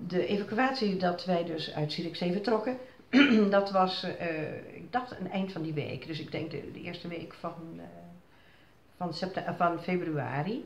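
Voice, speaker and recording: A woman's fairly low voice at a fairly slow pace with ordinary pitch variation, light background noise and audible room echo. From Zierikzee, Zeeland, Netherlands. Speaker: flood survivor. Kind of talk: interview answer. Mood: reflective, recalling fear. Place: home room. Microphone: phone near.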